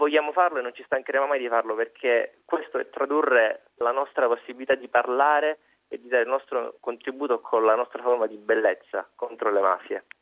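A man talks in a plain, everyday voice. His intonation stays fairly even. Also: medium pitch for a man, fairly quick pace. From Calabria, Cosenza. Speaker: student activist, event organizer. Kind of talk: radio statement.

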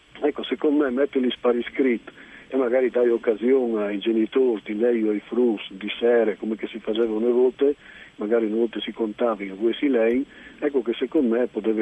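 Fairly even intonation at a fairly quick pace, over noticeable background noise. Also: man, medium pitch for a man. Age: 60s. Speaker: novelist. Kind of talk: radio interview.

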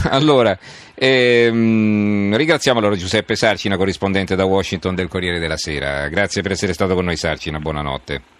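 A man with a fairly low pitch talks at a fairly quick pace with lively intonation over noticeable background noise. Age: 50s. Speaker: radio host. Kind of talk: radio interview.

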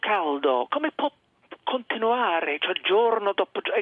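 A man with an English accent, high pitch and very wide pitch swings, at a fairly slow pace. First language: English (speaking Italian). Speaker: journalist. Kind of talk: radio interview. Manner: halting.

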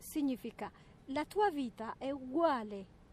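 Speaking with an Eritrean accent, a woman uses a high pitch at a fairly slow pace. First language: Tigrinya (speaking Italian). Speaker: interviewee. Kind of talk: interview.

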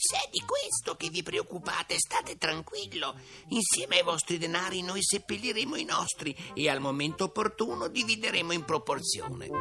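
A man performs a put-on character voice, pitched high, at a moderate pace. Clear music plays in the background. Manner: smooth, coaxing, sly.

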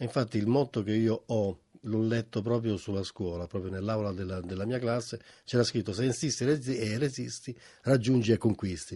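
A man with a Roman accent speaks against a quiet background. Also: medium pitch for a man, ordinary pitch variation, moderate pace. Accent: Roman Italian. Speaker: retired ship radio operator. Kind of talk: interview reminiscence.

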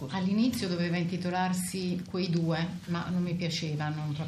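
Over noticeable background noise, a woman speaks at a moderate pace and fairly low pitch in a monotone, flat way. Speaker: interpreter. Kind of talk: simultaneous interpreting of an interview.

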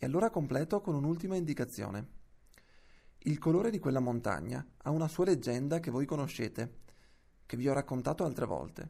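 At a moderate pace, a man talks in a dark, mellow tone with a fairly high pitch. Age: 30s. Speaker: reader of historical letters. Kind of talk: reading aloud.

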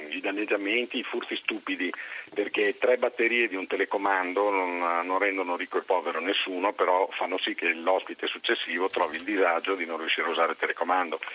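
A man with a very deep, low pitch, fairly even intonation and a fairly quick pace, over noticeable background noise. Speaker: hotel industry representative. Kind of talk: radio interview.

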